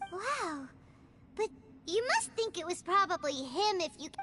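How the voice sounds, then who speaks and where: An extremely high-pitched put-on character voice speaks at a moderate pace. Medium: video game. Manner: excitable, exclamatory.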